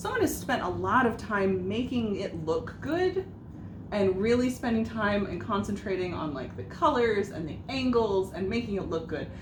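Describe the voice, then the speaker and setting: With lively intonation, a woman talks at medium pitch and a moderate pace. Noticeable background noise and audible room echo are present. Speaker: podcast co-host. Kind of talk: casual chat. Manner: loud.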